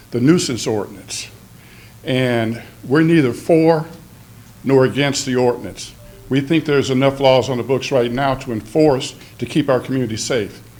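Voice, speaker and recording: Music plays behind a man who speaks at medium pitch and a moderate pace with long, frequent pauses, and the room echo is audible. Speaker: fraternal lodge representative, public commenter. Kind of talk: public comment speech. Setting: city council meeting. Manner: loud.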